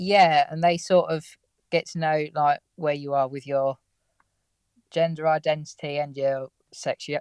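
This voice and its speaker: A man's fairly high, monotone voice with an English accent, flat intonation, a moderate pace and a quiet background. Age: 20s. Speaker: car mechanic. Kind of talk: casual interview chat. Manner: laid back.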